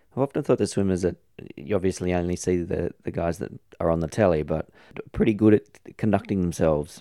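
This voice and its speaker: A man's very deep, low voice with a dark, mellow tone, very fast pace and ordinary pitch variation, in an Australian accent with a dry, close sound and no echo. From Australia (Sydney, Epping). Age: 40s. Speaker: podcast host. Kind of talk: interview.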